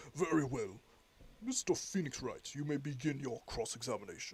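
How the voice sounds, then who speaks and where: A put-on character voice at a moderate pace, with lively intonation. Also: man, fairly high pitch for a man. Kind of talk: dramatized reading of a game script. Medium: solo performance. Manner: formal, measured.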